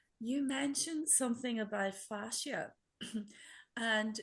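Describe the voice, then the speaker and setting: A woman with a fairly high pitch talks at a fairly slow pace with ordinary pitch variation. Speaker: workshop participant. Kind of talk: casual chat. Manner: halting.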